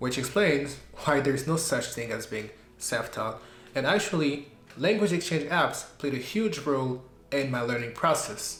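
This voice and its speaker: A man at fairly high pitch and moderate pace with lively intonation and audible room echo. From Belgium. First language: French. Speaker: YouTuber, language learner. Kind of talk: personal vlog narration.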